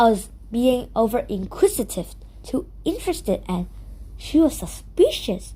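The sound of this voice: A woman speaks at a fairly slow pace in a fairly high pitch, her tone dark and mellow, with big pitch swings.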